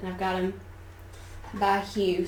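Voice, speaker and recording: A woman talks at a fairly slow pace in a Southern US accent, her pitch medium. Room echo is audible. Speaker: artist, art teacher. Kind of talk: studio tour tutorial. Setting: home art studio. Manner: casual, conversational.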